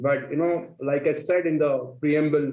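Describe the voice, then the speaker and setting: Audible room echo around a man with an Indian accent, fairly high pitch, moderate pace. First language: Marathi. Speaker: panel moderator. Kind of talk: panel discussion.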